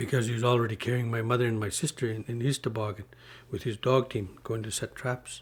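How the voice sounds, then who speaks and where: A man talks at a very fast pace and a medium pitch. His intonation is monotone and flat, and his voice is somewhat breathy. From Northwest Territories, Canada (Mackenzie Delta, Inuvialuit and Gwich'in). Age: 50s. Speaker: community elder and public official. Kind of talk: storytelling interview. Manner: halting, with many fillers.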